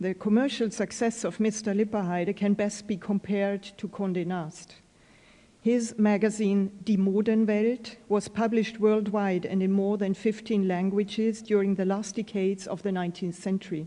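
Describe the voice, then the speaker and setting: A woman speaks with a German accent at a moderate pace. Her intonation is monotone and flat. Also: medium pitch for a woman. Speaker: fashion historian and curator. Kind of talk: lecture. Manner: reading from a prepared text.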